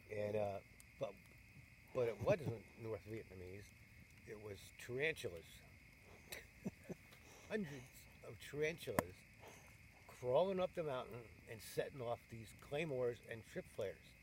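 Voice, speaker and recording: A man with an American accent speaks at a fairly slow pace, somewhat breathy, with lively intonation. He leaves long, frequent pauses. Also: medium pitch for a man. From New York State. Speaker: war veteran. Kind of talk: interview answer. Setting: outdoors. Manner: casual, rambling.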